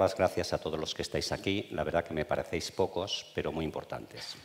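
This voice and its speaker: A man talks with a very deep, low pitch. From Spain, Burgos province. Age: 60s. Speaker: retired oncologist. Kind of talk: public talk, interview. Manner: spontaneous, unscripted.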